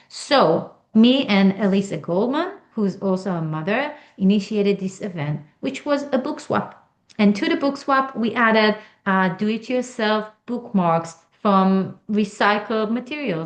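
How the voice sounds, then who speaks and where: A woman speaks in a fairly high pitch. She has an Israeli accent. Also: lively intonation, fairly slow pace. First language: Hebrew. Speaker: author and stand-up comedian. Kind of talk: interview.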